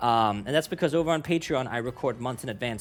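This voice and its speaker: Music plays in the background as a man talks at a very fast pace. He has a non-native accent. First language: not English. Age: 20s. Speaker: YouTube reaction creator. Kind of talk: casual vlog intro. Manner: rambling, many fillers.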